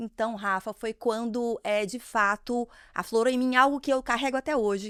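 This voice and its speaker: A woman with a Minas Gerais accent, fairly high pitch and ordinary pitch variation, in a dry, close sound with no echo. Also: very clean recording, silent background. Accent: mineiro. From Minas Gerais, Brazil (Ipatinga). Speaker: marketing executive. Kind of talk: interview podcast.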